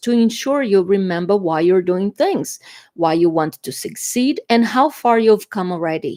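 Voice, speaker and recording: With a Brazilian Portuguese accent, a woman at medium pitch talks at a fairly slow pace with lively intonation and hardly any pauses, on a very clean recording with a silent background. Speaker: tarot reader. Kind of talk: tarot reading. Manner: halting, with fillers.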